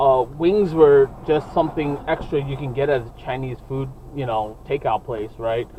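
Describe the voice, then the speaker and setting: A man speaks at a moderate pace with a fairly high pitch and ordinary pitch variation, his loudness swinging widely over noticeable background noise. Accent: American. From New York City, Brooklyn. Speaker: podcast co-host. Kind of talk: casual chat. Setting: in a car.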